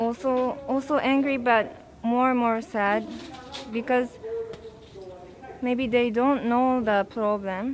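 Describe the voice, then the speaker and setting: A high-pitched woman with a Japanese accent, very slow with long, frequent pauses, fairly even intonation and very even loudness, over noticeable background noise. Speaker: protester. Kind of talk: interview. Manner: halting.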